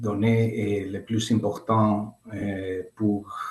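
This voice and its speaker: A man's fairly low voice has a non-native accent. His intonation stays monotone and flat. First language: not French (speaking French). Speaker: participant from nonprofit. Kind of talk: question in webinar. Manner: halting.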